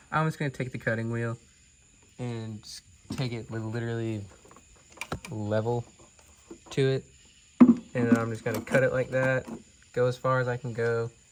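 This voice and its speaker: Speech comes at a moderate pace with long, frequent pauses over noticeable background noise. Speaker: car restoration hobbyist. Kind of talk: tutorial. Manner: casual.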